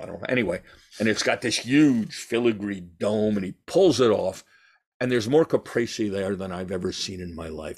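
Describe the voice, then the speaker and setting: In an ordinary speaking voice, a man with an American accent speaks at a moderate pace with fairly low pitch and ordinary pitch variation, on a very clean recording with a silent background. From New York. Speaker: journalist and TV producer. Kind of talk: casual chat.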